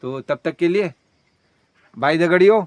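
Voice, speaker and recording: A man's high-pitched voice comes through in a dry, close sound with no echo. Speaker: village vlogger. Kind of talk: casual vlog chat.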